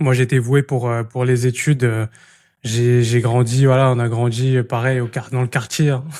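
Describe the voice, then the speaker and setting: On a very clean recording with a silent background, a man speaks at a moderate pace and medium pitch with monotone, flat intonation. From Île-de-France, France. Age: 20s. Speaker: podcast host and entrepreneur. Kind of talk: casual interview chat. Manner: casual, many hesitations.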